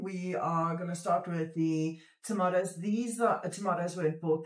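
A woman's fairly low voice with ordinary pitch variation at a moderate pace, audible room echo over a quiet background. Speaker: homestead vlogger. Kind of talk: casual vlog chat. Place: home room. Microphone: phone near.

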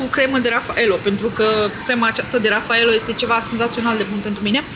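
A woman with a high-pitched voice talks fairly quickly amid noticeable background noise and audible room echo. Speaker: vlogger. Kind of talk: casual vlog chat.

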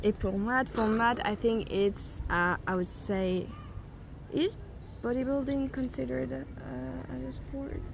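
Fairly slow speech in a French accent over light background noise. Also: woman. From France. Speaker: YouTuber. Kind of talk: casual chat. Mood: relaxed, thoughtful. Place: garden.

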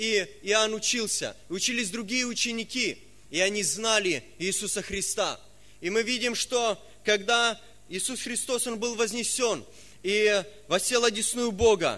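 Using a raised, projected voice with a bright, sharp tone, a man speaks at a fairly slow pace. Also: ordinary pitch variation. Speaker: preacher. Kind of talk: sermon. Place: church. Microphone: podium.

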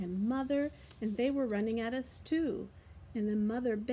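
The clip features plain reading aloud. Words are read straight off the page.

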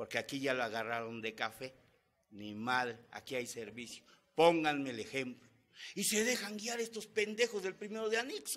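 A man speaks at a moderate pace in an animated tone with a fairly high pitch. His pitch swings very widely. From Mexico. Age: 50s. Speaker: Alcoholics Anonymous member. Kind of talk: testimony. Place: meeting room. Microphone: podium.

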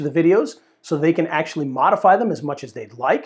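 Against a quiet background, a man talks at a high pitch. His pace is fairly quick, and his pitch varies in an ordinary way. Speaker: presenter. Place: studio. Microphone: lapel.

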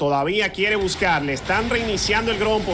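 Over noticeable background noise, a man speaks in a raised, projected voice with an energetic tone and very wide pitch swings. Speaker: esports play-by-play caster. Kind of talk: live esports play-by-play commentary. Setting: streamed esports broadcast. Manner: rhythmic and energetic, hyping the crowd.

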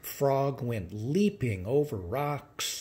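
Reading aloud, plainly done.

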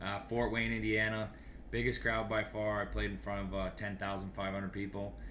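A man talks at a fairly quick pace in a Canadian accent. Light background noise can be heard. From Sault Ste. Marie, Ontario, Canada. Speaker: junior hockey goalie and goalie instructor. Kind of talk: casual radio interview chat. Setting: radio studio. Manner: easygoing, laughing, jokey. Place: home room. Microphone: webcam.

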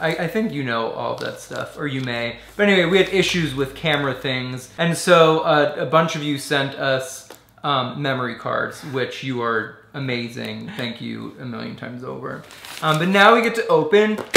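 At a moderate pace and with ordinary pitch variation, a man talks amid audible room echo. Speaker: vlogger. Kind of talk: casual vlog chat. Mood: warm, touched, playful. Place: home room. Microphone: camera far.

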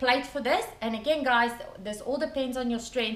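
A woman is speaking. Room echo is audible. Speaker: weightlifting coach. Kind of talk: tutorial. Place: garage. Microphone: camera far.

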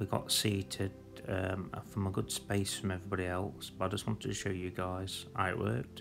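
Clear music sits behind a man with a very deep, low pitch who speaks at a moderate pace with ordinary pitch variation. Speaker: vlogger reviewing a restaurant. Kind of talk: casual vlog chat. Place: cafe. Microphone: phone near.

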